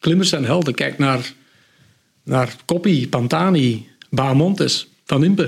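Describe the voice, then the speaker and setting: Somewhat breathy and fairly high-pitched, a man talks at a very slow pace with long, frequent pauses and ordinary pitch variation. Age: 50s. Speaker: cycling book author. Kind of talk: podcast interview.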